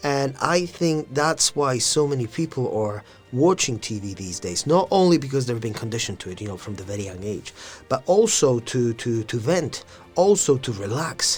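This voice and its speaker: With music in the background, a man with a non-native accent talks at a moderate pace and medium pitch, showing very wide pitch swings and big swings in loudness. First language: not English. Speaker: podcast co-host. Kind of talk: casual chat.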